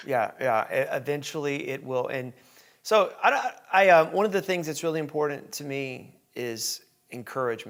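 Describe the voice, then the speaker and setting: With a Southern US accent, a man speaks at a moderate pace and a fairly high pitch, with ordinary pitch variation. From Tennessee, US. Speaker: podcast host. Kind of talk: casual interview chat. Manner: hesitant, many fillers.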